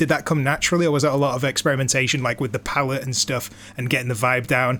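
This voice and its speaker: A man's voice is heard on a very clean recording against a silent background. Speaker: stream host. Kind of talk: casual interview. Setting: live stream call.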